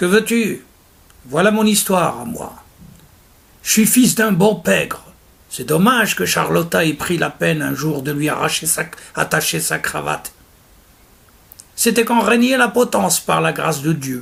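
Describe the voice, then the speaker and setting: Putting on a raspy, high-pitched character voice, a man talks at a moderate pace with very wide pitch swings and long, frequent pauses. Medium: read story. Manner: slangy thieves' argot, sardonic.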